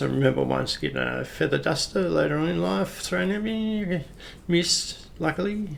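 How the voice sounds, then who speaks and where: Speaking with an Australian accent, a man keeps to a moderate pace. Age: 60s. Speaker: retired police officer. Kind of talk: personal storytelling. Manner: casual, hesitant with fillers.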